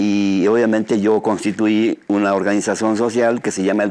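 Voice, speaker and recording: A man with an ordinary speaking voice talks fairly quickly at a fairly low pitch. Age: 60s. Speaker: trout farmer. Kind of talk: radio interview.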